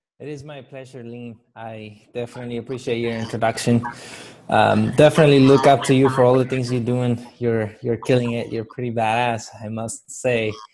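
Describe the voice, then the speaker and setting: A man with a Spanish accent talks at a moderate pace and medium pitch. His intonation is monotone and flat, with big swings in loudness. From Guatemala. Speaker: motivational speaker and author. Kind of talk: interview storytelling.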